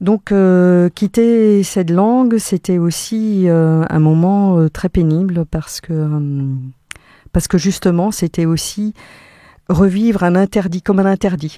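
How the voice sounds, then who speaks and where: A woman's dark, mellow voice at medium pitch, with ordinary pitch variation, a very slow pace and a dry, close sound with no echo. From Catalonia, Spain; Alsace from age 8. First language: Catalan (speaking French). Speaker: psychiatric nurse and education researcher. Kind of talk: radio interview. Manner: hesitant, many fillers.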